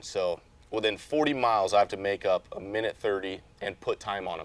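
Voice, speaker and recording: Using a plain, everyday voice, a man with an American accent speaks at a fairly quick pace. His pitch is fairly low. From Las Vegas, Nevada. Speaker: off-road racing driver. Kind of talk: interview. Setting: race shop.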